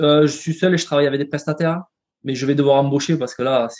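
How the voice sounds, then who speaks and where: Fairly high in pitch, this man speaks with fairly even intonation. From southern France, near Carcassonne. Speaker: entrepreneur. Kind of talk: interview. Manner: halting, frequent repetitions.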